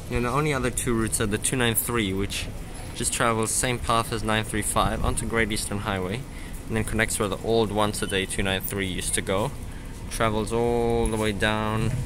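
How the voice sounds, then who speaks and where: Music plays in the background as a man speaks at a moderate pace. His fairly low voice keeps a fairly even intonation. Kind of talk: casual vlog commentary. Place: station. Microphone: phone near.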